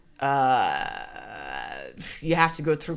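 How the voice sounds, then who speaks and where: A woman with a French Canadian accent speaks in an animated tone. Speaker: storyteller, podcaster. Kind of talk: personal storytelling.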